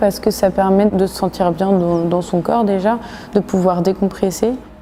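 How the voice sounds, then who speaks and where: Over noticeable background noise, a woman talks at a fairly slow pace in a monotone, flat intonation. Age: 20s. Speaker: volunteer firefighter. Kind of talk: interview testimony. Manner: hesitant, with fillers.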